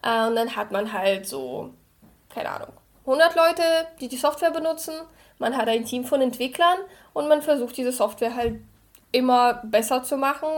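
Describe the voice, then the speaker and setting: A woman's high-pitched voice at a moderate pace, with ordinary pitch variation, on a very clean recording over a silent background. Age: 30s. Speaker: software engineer. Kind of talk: interview.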